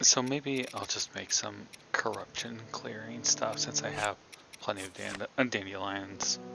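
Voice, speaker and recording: This man speaks fairly slowly, his fairly low pitch moving in very wide swings. There is noticeable background noise. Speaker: gaming streamer. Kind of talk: live gameplay commentary.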